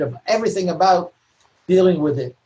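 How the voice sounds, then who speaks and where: Somewhat breathy, a man speaks in an American accent with ordinary pitch variation. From New York City. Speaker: novelist. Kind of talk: lecture Q&A.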